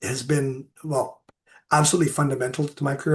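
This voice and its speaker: Here a man talks with a somewhat breathy voice. His pitch sits fairly high. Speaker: marine ecologist. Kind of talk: Q&A after a lecture. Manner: halting, many fillers.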